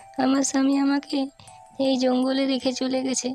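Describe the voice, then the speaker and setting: A female-sounding, cartoonish character voice speaks at a high pitch in a monotone, flat intonation. Clear background noise runs underneath. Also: moderate pace. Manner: deceptive, menacing.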